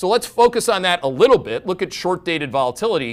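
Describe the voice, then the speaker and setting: A man talks in an animated tone, and the recording is very clean against a silent background. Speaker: financial market analyst, show host. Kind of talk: live market webcast commentary. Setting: live webcast. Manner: animated, emphatic.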